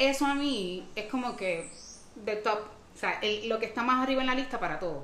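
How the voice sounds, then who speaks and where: Lively intonation amid noticeable background noise and audible room echo. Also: woman, fairly high pitch for a woman, moderate pace. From Dominican Republic. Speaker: podcast guest. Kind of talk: casual chat.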